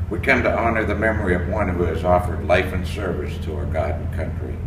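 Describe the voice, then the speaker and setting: A man speaks at a fairly quick pace while noticeable background noise runs underneath. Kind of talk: funeral prayer and eulogy reading. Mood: solemn, measured. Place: street. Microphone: camera far.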